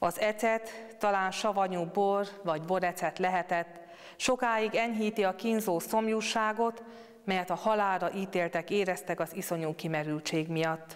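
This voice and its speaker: Fairly slow speech from a woman with fairly even intonation and very even loudness against a quiet background. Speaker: speaker. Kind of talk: scripture reading and meditation. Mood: calm, solemn. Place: church. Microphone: lapel.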